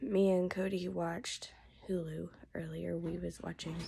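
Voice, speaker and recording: There is noticeable background noise. Over it, a woman talks at a moderate pace. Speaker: vlogger. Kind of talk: casual vlog chat. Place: home room. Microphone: phone near.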